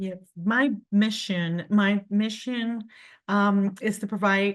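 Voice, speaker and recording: A medium-pitched woman with a Spanish accent and fairly even intonation, against a quiet background. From Colombia. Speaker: cleaning company owner. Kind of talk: business presentation. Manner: halting.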